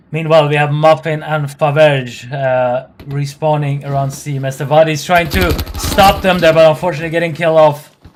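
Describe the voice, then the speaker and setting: Moderate pace with noticeable background noise. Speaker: esports caster. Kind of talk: live commentary.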